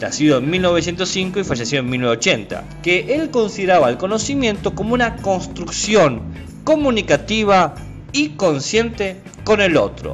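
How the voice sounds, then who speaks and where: With music in the background, a man speaks at a moderate pace in a high pitch, with very wide pitch swings. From San Juan, Argentina. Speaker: philosophy of science podcaster. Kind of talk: casual educational podcast talk. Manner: effusive.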